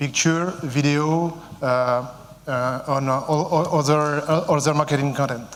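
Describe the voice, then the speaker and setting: A man with a French accent at fairly high pitch, with audible room echo. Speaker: company CEO. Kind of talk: conference presentation. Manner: halting, many fillers.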